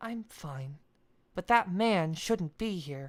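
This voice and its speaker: In a put-on character voice, a female-sounding speaker talks very slowly at a fairly low pitch. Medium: read story. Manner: curt, sharp.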